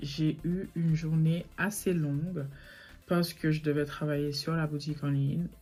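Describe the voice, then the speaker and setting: A woman's very deep, low voice, somewhat breathy, dark and mellow in tone, with monotone, flat intonation. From Saint Martin (French side), Caribbean. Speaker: online boutique owner and YouTuber. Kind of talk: casual vlog story time. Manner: fast, not clearly articulated; hesitant, many filler sounds.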